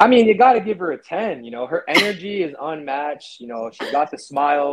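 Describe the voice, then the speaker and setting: With an American accent and an unremarkable speaking voice, a man talks at a moderate pace, fairly high in pitch, his intonation lively. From New Jersey (Piscataway), born Brooklyn. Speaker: amateur MMA fighter. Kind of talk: casual chat.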